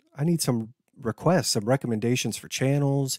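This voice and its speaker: Over a very clean recording, silent background, a man talks at a moderate pace in a dry, close sound with no echo. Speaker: reaction video youtuber. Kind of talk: casual vlog chat. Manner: casual, chatty.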